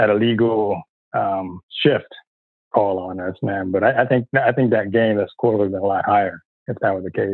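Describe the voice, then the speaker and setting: A man with an American accent speaks at a moderate pace. It is a normal speaking voice with ordinary pitch variation. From San Diego, then Florida from age 12. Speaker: football fan. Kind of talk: casual chat.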